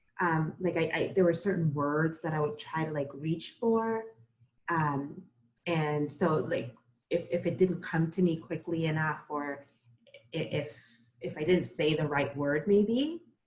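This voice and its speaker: Speaking in a Spanish accent, a woman has a very deep, low pitch and a somewhat breathy voice. Her pace is fairly slow and her pitch variation ordinary. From Costa Rica, raised in Brooklyn from age nine. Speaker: floral designer. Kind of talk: interview.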